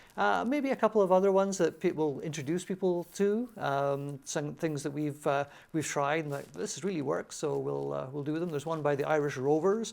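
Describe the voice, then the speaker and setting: Hardly pausing, a man talks at a fairly quick pace and a fairly high pitch with lively intonation. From Scotland, Glasgow. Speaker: folk musician. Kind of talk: TV interview. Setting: studio. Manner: hesitant, many fillers.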